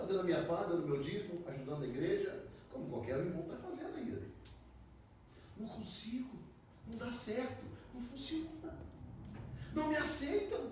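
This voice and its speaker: A man delivers his words at an average speed, his pitch leaping widely, while clear background noise and echo from the room come through. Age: 60s. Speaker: pastor. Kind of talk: sermon.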